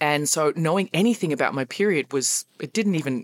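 A woman's very deep, low voice with an Australian accent and ordinary pitch variation, in a dry, close sound with no echo. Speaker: fitness coach. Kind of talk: interview.

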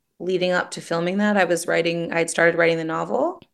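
A woman speaks with a Canadian accent in a normal speaking voice. Her pitch is medium and her intonation fairly even. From Toronto, Canada. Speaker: writer and screenwriter. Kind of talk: casual interview chat.

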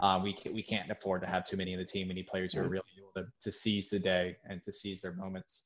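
A man's very deep, low voice with an American accent, very fast and monotone, flat, hardly any pauses, big swings in loudness, and a quiet background. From North Carolina (Charlotte). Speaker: soccer fan guest. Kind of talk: casual chat. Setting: video call.

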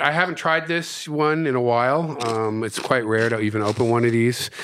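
A man's medium-pitched voice at a moderate pace, with ordinary pitch variation, hardly any pauses, and noticeable background noise. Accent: American. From US East Coast. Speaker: hot sauce maker and entrepreneur. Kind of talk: casual interview chat.

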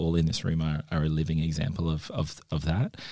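A man with an Australian accent talks at a fairly quick pace. His very deep, low voice has a dark, mellow tone. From Northern Territory, Australia. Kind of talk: casual group conversation.

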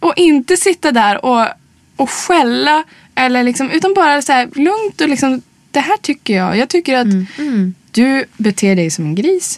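A woman's high voice moves in very wide pitch swings, heard with a dry, close sound and no echo. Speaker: singer and actress. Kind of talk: casual interview chat.

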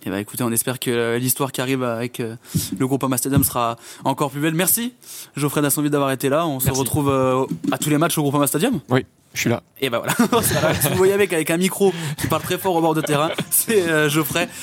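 This man talks at a fairly quick pace in a plain, everyday voice, with a fairly high pitch. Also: lively intonation. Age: 20s. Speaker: podcast host. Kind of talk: casual interview.

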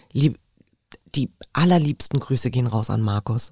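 Somewhat breathy, with a dark, mellow tone and a very deep, low pitch, a woman speaks at a moderate pace in a dry, close sound with no echo. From Berlin, Charlottenburg. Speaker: podcast co-host. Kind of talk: casual chat. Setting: studio.

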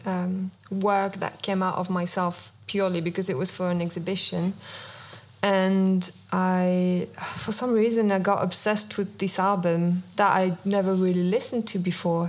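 A woman with a French accent, medium pitch and fairly slow pace, in audible room echo. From France. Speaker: visual artist. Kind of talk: interview. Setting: stage with audience.

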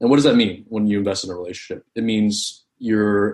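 A man with an unremarkable speaking voice and an American accent, at a fairly quick pace with ordinary pitch variation. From US East Coast. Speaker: tech and finance professional. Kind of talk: casual interview.

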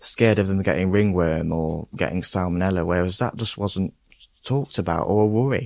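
Here a man with an East Midlands accent has a very deep, low voice. He talks fairly quickly with ordinary pitch variation. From Hucknall, Nottingham, England. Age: 20s. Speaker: gardener. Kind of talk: casual chat. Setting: outdoors.

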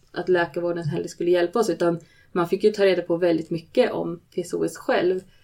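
The woman's pitch is fairly low and her tone is dark and mellow. She keeps a moderate pace with fairly even intonation. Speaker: bereaved mother sharing her story. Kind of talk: personal testimony in interview.

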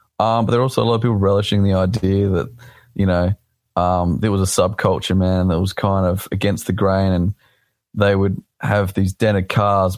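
With an Australian accent, a man speaks at a very deep, low pitch and a moderate pace. His intonation is fairly even, and the recording is very clean with a silent background. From South Australia. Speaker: drift driver. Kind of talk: casual interview. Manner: halting, many fillers.

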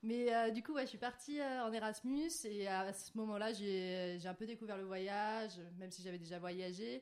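An ordinary speaking voice from a woman of medium pitch, at a fairly slow pace with ordinary pitch variation and hardly any pauses. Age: 20s. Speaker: guest, digital marketing graduate. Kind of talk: casual chat.

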